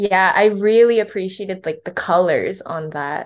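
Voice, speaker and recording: The speaker talks in a Californian accent at a moderate pace. The pitch variation is ordinary. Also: woman, quiet background. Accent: Californian American. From Los Angeles, US (born in Korea). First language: Korean. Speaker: crochet and knit artist. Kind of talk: casual interview.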